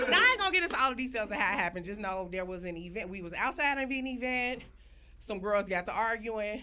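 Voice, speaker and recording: Against noticeable background noise, a woman talks very fast at a fairly high pitch, with lively intonation and big swings in loudness. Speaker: storyteller. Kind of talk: comedic storytelling to live audience.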